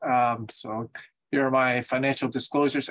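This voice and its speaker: His intonation stays fairly even. The man keeps a moderate pace. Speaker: invited lecturer. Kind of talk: lecture. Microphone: video call.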